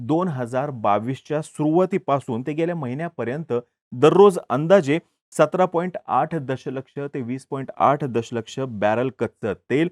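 A man speaks at a moderate pace. His tone is slightly mellow. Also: medium pitch for a man, ordinary pitch variation, dry, close sound with no echo.

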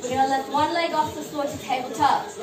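Over clear music in the background, a woman speaks at a high pitch with ordinary pitch variation. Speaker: fitness instructor. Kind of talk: exercise class instruction. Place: home room. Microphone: camera far.

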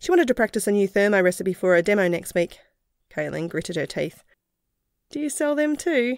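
A woman with an Australian accent speaks at medium pitch and a fairly quick pace, with very wide pitch swings and long, frequent pauses, in a dry, close sound with no echo on a very clean recording with a silent background. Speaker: audiobook narrator. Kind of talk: scripted narration, fiction audiobook reading. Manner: narrative reading that shifts into character voices.

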